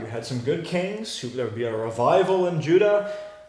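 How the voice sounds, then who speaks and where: A man talks at a fairly quick pace with lively intonation. Noticeable background noise and audible room echo fill the recording. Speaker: Bible teacher. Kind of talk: teaching a class with discussion. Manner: fast.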